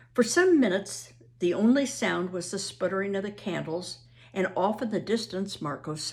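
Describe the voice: The voice is a plain reading aloud.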